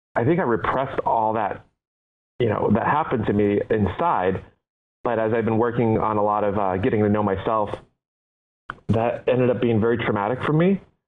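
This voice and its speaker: Pausing long and often, a man speaks with very even loudness and ordinary pitch variation. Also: medium pitch for a man. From United States (moved from Taiwan as child). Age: 30s. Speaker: entrepreneur, company founder. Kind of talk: interview. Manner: halting, many fillers.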